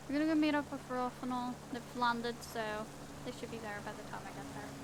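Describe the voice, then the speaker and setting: A woman speaks at a fairly quick pace with high pitch and fairly even intonation. Noticeable background noise and audible room echo are present. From Northern Ireland. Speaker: game streamer. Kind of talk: casual live-stream commentary while gaming.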